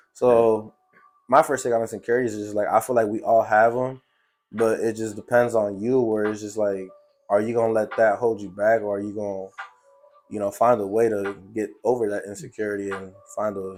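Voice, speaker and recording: A man's monotone, flat voice at a fairly quick pace, with music in the background. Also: fairly low pitch for a man. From US Midwest, Chicago. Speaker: podcast host. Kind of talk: casual chat. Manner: casual.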